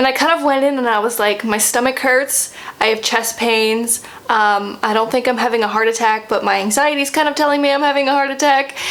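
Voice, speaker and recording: A woman speaks at a moderate pace in a fairly high voice with ordinary pitch variation. Noticeable background noise is present. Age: 20s. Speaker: vlogger. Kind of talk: casual chat. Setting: home, sitting with coffee. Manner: conversational, hesitant with fillers.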